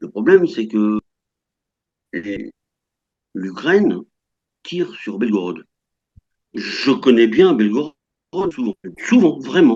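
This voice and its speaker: Speaking at a very slow pace with long, frequent pauses, a man uses a dark, mellow tone at a medium pitch, with very wide pitch swings. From France. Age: 60s. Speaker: French retiree living in Russia. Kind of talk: interview. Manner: halting, many hesitations.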